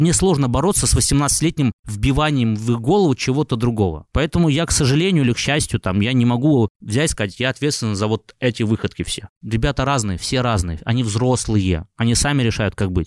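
A man with an ordinary speaking voice and a medium pitch talks at a fairly quick pace, with lively intonation, hardly any pauses, and very even loudness. The sound is dry and close with no echo, over a quiet background. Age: 30s. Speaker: music and blogger producer, entrepreneur. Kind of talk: interview.

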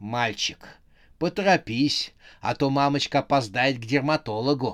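A man's put-on character voice at medium pitch and moderate pace, with hissing, on a very clean recording with a silent background. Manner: hissing, sarcastic, impatient.

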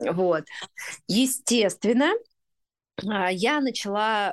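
A woman with a normal speaking voice at medium pitch. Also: quiet background. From Russia, Urals (Chelyabinsk region). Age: 30s. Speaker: women's community founder. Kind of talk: interview.

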